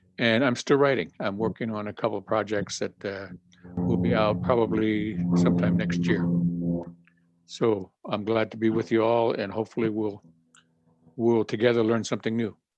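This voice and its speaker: Over music in the background, a man with a fairly low pitch talks at a moderate pace with fairly even intonation. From Rosebud Reservation, South Dakota (Lakota). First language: Lakota. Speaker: author. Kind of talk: self-introduction.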